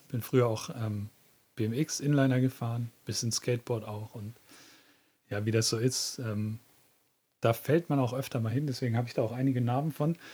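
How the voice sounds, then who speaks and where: Somewhat breathy and dark, mellow in tone, a man's voice sits at medium pitch. He speaks at a moderate pace with ordinary pitch variation. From southern then northern Germany. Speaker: podcast co-host. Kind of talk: casual chat.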